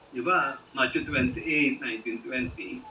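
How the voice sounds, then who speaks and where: Noticeable background noise sits under the speech. The pace is fairly slow. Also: man. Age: 70s. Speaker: pastor. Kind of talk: online prayer meeting hosting.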